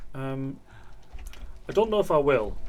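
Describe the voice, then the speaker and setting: Lively intonation from a man at a moderate pace, with audible room echo. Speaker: video game streamer. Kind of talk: live gameplay stream chat. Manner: quiet.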